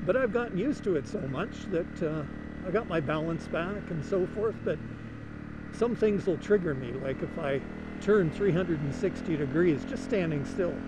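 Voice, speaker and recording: A man with a high pitch and lively intonation speaks at a moderate pace, with audible room echo and noticeable background noise. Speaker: motovlogger. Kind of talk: casual chat. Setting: riding a motorcycle in city traffic. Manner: varies loudness, louder at speed, quieter at stops. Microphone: helmet mic, level turned down to avoid crackling.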